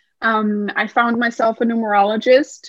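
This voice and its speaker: In a Danish accent, a woman speaks at a moderate pace and a fairly high pitch, the sound dry and close with no echo. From Denmark. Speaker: numerologist and writer. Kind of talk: interview conversation.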